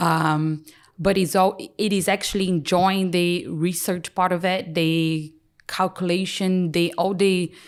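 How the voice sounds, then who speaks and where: A woman speaks fairly slowly in a Brazilian accent, her pitch fairly low and her intonation monotone and flat. Her loudness is very even, and the recording is very clean with a silent background. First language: Portuguese. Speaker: chartered paraplanner and practice lead. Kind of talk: podcast interview answer.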